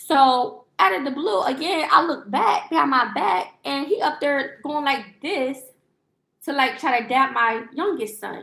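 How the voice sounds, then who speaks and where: A woman's raised, projected voice, high in pitch, with an animated tone, lively intonation and a fairly slow pace. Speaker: lifestyle livestreamer. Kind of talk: casual storytelling. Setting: livestream. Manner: loud.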